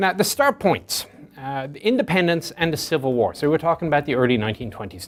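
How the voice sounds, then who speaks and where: Over music in the background, a man talks at a very fast pace with a fairly high pitch. His intonation is lively and his loudness swings widely. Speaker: military historian, tank expert. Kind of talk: lecture. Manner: conversational with frequent fillers.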